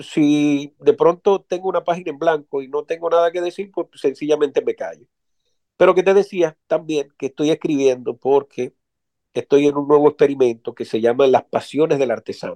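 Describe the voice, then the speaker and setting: An unremarkable speaking voice from a man, at a moderate pace. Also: fairly high pitch for a man, ordinary pitch variation, dry, close sound with no echo. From Dominican Republic. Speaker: writer and poet. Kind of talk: interview.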